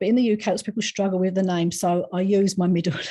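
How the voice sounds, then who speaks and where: A woman's fairly low, dark and mellow voice against a quiet background. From England, East London. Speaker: psychic medium and animal communicator. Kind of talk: interview. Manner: chatty.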